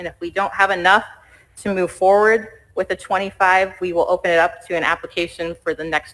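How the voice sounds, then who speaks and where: Speaking at a fairly quick pace, a woman uses a fairly low pitch. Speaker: school district administrator. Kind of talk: presentation at school board meeting. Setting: board meeting. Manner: fast.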